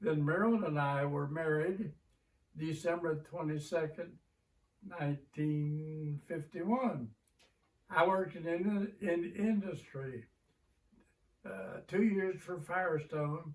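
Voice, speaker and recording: Very slow speech in an American accent, broken by long, frequent pauses. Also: man, fairly high pitch for a man, ordinary pitch variation. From southern Indiana (Borden). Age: 90s. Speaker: retired teacher. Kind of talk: oral history interview.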